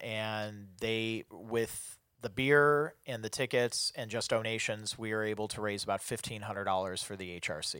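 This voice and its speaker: A man with a plain, everyday voice talks at a medium pitch and moderate pace, with hardly any pauses. The recording is very clean, with a silent background. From US Midwest, Chicago. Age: 30s. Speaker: bar owner and concert promoter. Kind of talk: casual chat.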